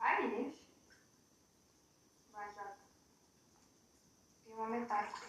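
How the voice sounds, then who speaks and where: In a room with audible echo, a woman speaks fairly slowly at a fairly high pitch, leaving long, frequent pauses. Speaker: youtuber. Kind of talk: casual chat. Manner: animated.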